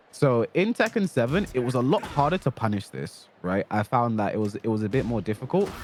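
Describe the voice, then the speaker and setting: A man at medium pitch, lively intonation, a fairly quick pace and hardly any pauses, dry, close sound with no echo, music in the background. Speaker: fighting game coach. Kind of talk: tutorial. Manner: fast.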